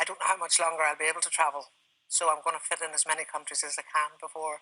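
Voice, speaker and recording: A woman with an Irish accent races along at a very fast pace, her very deep, low pitch set in a bright, sharp tone and flat, monotone intonation. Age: 60s. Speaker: retired traveller with Parkinson's, TV guest. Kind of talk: TV interview. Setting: TV studio.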